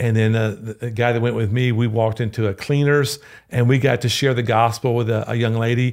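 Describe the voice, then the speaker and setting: A man with a Louisiana accent at a fairly quick pace, monotone and flat in intonation, on a very clean recording with a silent background. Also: medium pitch for a man. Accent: Louisiana Southern US. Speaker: pastor. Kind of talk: podcast interview.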